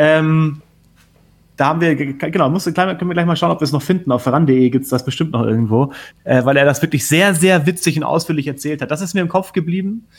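A man with an ordinary speaking voice, fairly high in pitch, talks at a fairly quick pace with ordinary pitch variation on a very clean recording with a silent background. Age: 30s. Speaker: TV sports journalist. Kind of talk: casual chat.

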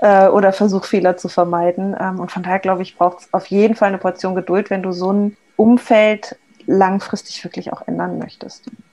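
A woman speaks at a fairly quick pace and a medium pitch. Her intonation stays monotone and flat while her loudness swings widely. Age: 40s. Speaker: agile coach. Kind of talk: casual interview chat.

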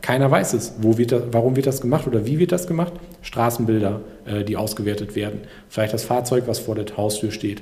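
The recording carries audible room echo and noticeable background noise. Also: man, medium pitch for a man, ordinary pitch variation, fairly quick pace. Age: 30s. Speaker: entrepreneur. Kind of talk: casual chat. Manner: hesitant.

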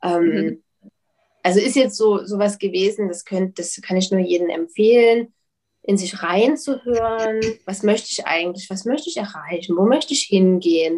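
Her voice has a dark, mellow tone at medium pitch, and this woman speaks at a moderate pace with ordinary pitch variation and big swings in loudness. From Leipzig, Saxony, Germany. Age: 30s. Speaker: publisher. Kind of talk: interview.

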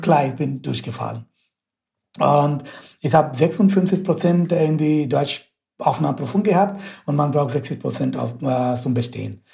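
Speaking in an Indian accent at a moderate pace, a man with a fairly high pitch has a dark, mellow tone with vocal fry and ordinary pitch variation. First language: Indian language (speaking German). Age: 30s. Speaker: mechanical engineering researcher. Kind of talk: interview. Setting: video call.

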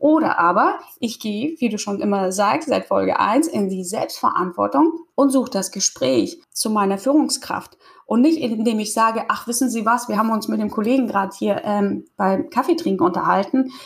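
Lively intonation and a somewhat breathy sound at a moderate pace, with hardly any pauses. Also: woman, fairly high pitch for a woman. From Kazakhstan. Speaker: podcast host. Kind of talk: casual interview chat.

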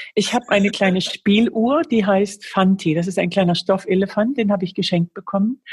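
Her medium-pitched voice is somewhat breathy, moving at a fairly quick pace with ordinary pitch variation and very even loudness. The recording is very clean and dry, close-miked with no echo and a silent background. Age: 50s. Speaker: author and speaker. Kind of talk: interview.

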